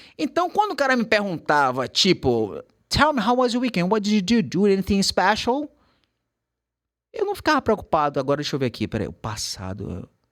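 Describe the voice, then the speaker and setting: A man's animated tone at a moderate pace, in a very clean recording with a silent background. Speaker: English teacher. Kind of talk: casual chat.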